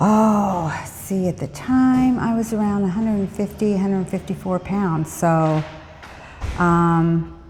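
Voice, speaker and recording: A woman speaks at a fairly slow pace with a medium pitch and ordinary pitch variation. Noticeable background noise sits behind her voice. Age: 70s. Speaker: fitness instructor. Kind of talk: interview answers.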